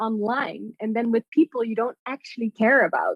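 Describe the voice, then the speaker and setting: A woman speaks with a Dutch accent. The sound is dry and close, with no echo. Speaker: artist and poet. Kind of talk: casual chat.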